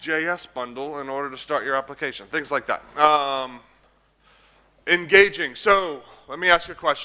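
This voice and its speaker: A man with a plain, everyday voice speaks at a moderate pace in an American accent. His pitch is fairly high, with ordinary pitch variation. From United States. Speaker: conference speaker. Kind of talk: technical talk with live coding.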